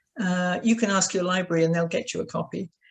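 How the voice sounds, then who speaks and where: A woman with a British accent speaks at a medium pitch in a somewhat breathy voice. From Britain. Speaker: author. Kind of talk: interview.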